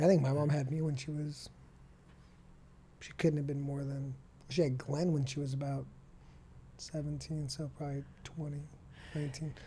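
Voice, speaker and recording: Over audible room echo, a man speaks at a moderate pace in a fairly high, somewhat breathy voice with a dark, mellow tone, a monotone, flat intonation, and long, frequent pauses. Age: 30s. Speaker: podcast host. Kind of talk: casual interview. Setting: podcast studio.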